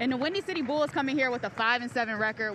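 Over clear music in the background, a woman talks in a high voice with a dry sound and no echo. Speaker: sports reporter. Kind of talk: studio stand-up reporting, game preview. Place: stadium. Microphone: handheld.

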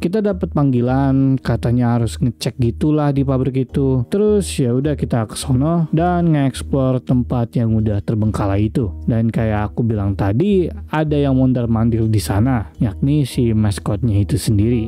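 With music in the background, a man talks with hardly any pauses and very wide pitch swings. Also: medium pitch for a man, moderate pace. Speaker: gaming video creator. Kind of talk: horror game let's play commentary.

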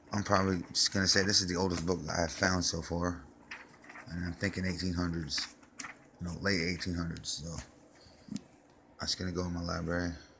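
Over noticeable background noise, a man with a very deep, low pitch talks at a fairly quick pace in a monotone, flat intonation, leaving long, frequent pauses. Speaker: trash collector and vlogger. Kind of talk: casual show-and-tell vlog. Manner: hesitant, many fillers.

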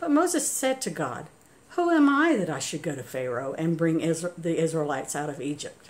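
A woman talks at a moderate pace. Her pitch makes very wide swings. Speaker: church scripture reader. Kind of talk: scripture reading. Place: home room. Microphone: phone near.

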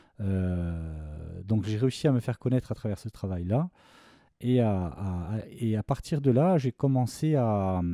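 In a very clean recording with a silent background and a dry, close sound with no echo, a man with a dark, mellow tone speaks at a fairly slow pace with ordinary pitch variation. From Corsica. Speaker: film composer. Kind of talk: interview. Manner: halting.

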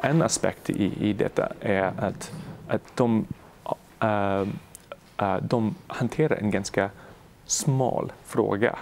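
Speaking at a very slow pace, a man with a fairly low pitch uses lively intonation. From Canada, Montreal. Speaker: economist researcher. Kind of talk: interview. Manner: halting, many fillers.

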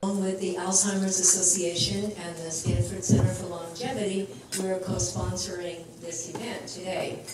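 Loud background noise and audible room echo surround a woman's voice. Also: moderate pace. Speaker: geriatric education center director. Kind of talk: formal introduction. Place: hall.

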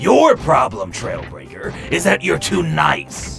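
Faint music plays behind a man doing a put-on character voice at a slow pace, fairly high in pitch with very wide pitch swings, vocal fry and a fairly bright tone.

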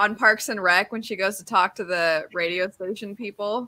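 At a moderate pace, a woman speaks with a medium pitch, ordinary pitch variation and a bright, sharp tone.

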